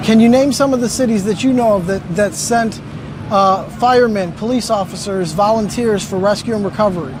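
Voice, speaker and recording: With noticeable background noise behind it, the talking moves at a fairly quick pace. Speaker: video interviewer. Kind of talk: interview questions and narration.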